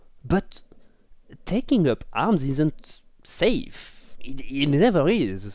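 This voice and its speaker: A man's dark, mellow voice with a strong French accent. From France. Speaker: podcast co-host. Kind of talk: casual chat. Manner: halting, many fillers and repeats.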